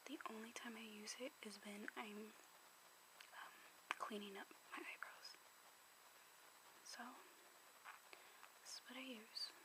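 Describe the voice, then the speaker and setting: Whispering at a fairly slow pace, a woman is heard against noticeable background noise. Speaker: ASMR creator. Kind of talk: ASMR makeup show and tell. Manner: soft-spoken, whispering.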